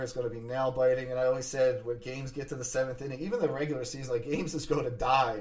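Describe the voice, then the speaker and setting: Audible room echo surrounds a man's voice. His tone is animated and his pace very fast. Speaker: sports podcast host. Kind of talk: solo sports podcast monologue.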